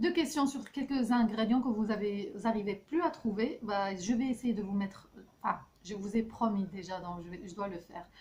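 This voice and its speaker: A woman with a fairly high pitch, somewhat breathy, with lively intonation, big swings in loudness and a moderate pace. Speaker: health and beauty vlogger. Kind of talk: casual recipe vlog talk. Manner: hesitant, many fillers.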